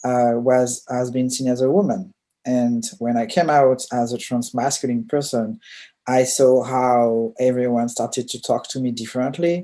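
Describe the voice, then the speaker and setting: Someone with a French accent speaks at a moderate pace on a very clean recording with a silent background. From France. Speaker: diversity consultant and UX researcher. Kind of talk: presentation.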